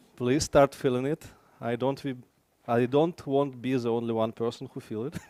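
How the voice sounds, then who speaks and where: A man with a calm, dark, mellow tone, dry and close with no echo. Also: medium pitch for a man, moderate pace. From Belarus. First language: Belarusian/Russian. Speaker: conference speaker, software engineer. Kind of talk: tech meetup talk. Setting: stage with audience. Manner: halting.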